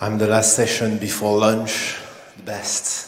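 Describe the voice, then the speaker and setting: A man talks in a French accent at a fairly low pitch. Noticeable background noise and audible room echo surround him. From France. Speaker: cybersecurity engineer. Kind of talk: conference talk. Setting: stage with audience. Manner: hesitant, many fillers.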